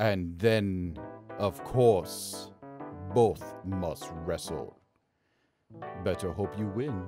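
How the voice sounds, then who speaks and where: A man speaks in a put-on character voice, very deep and low, at a very slow pace with long, frequent pauses, while faint music plays in the background. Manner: slow, formal, mysterious.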